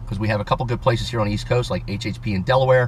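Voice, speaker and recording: An animated man talks over noticeable background noise. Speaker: automotive YouTuber. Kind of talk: casual vlog, giveaway announcement. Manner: fast.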